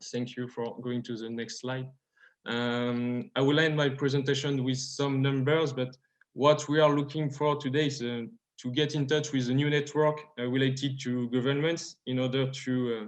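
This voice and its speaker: The speaker talks at a moderate pace with a French accent and monotone, flat intonation. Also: man, medium pitch for a man. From France. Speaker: startup founder. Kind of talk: pitch presentation. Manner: halting, many fillers.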